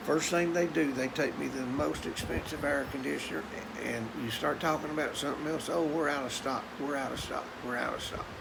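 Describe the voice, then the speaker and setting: A man with a Tennessee accent talks at a fairly quick pace and fairly high pitch with ordinary pitch variation, amid noticeable background noise and audible room echo. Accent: Southern US (Tennessee). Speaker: vlogger. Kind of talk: casual monologue.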